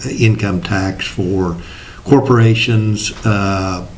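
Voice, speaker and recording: A man's fairly low voice with a Midwestern US accent and ordinary pitch variation, with audible room echo and noticeable background noise. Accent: rural Midwestern American. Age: 60s. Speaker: state legislator. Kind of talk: interview. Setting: studio.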